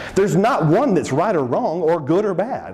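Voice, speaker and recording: With a Texan accent, a man talks at a fairly quick pace in an animated tone, his pitch high for a man, over noticeable background noise. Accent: Southern (Texan). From Texas. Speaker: seminar speaker. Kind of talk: seminar presentation. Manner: animated, conversational.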